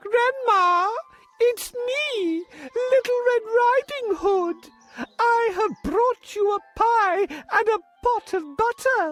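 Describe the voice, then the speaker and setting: Using a cartoonish character voice, a man speaks at a very slow pace with an extremely high pitch. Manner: gentle, polite.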